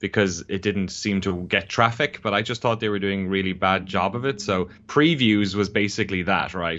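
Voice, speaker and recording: At a moderate pace, a man speaks with an Irish accent. His voice sits fairly low. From Ireland. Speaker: documentary filmmaker, games journalist. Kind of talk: interview conversation. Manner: casual, with frequent fillers and restarts.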